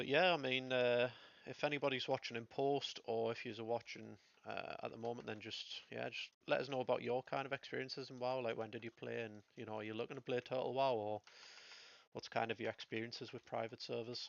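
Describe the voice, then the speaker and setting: A man speaks at a fairly quick pace with a medium pitch. His intonation is fairly even. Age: 30s. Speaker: gaming streamer. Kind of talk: live gameplay commentary. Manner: casual, hesitant with many fillers.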